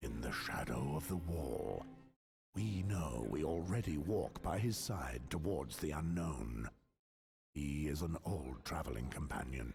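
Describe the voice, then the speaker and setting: A man puts on a character voice with a very deep, low pitch and lively intonation. He talks at a fairly slow pace with very even loudness. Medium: video game. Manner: solemn, measured.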